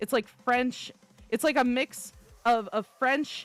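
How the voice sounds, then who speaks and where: A woman is speaking. She has an American accent. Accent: slight accent others notice. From central Florida. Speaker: vtuber streamer. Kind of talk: casual chat. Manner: halting.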